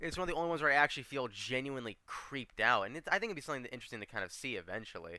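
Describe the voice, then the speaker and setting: Speaking very fast with hardly any pauses, a man uses a fairly high, bright, sharp tone with vocal fry. His pitch swings very widely. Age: 20s. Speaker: interviewer. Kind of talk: interview host, casual conversation.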